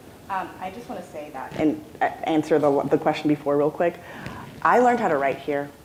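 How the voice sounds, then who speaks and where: A woman speaks at a fairly quick pace in a very deep, low voice, with ordinary pitch variation and big swings in loudness. Noticeable background noise sits behind her. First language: non-English. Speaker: alumna panelist. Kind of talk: panel discussion. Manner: halting, many fillers.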